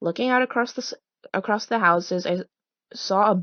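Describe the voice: Against a quiet background, plain reading aloud unfolds with ordinary pitch variation.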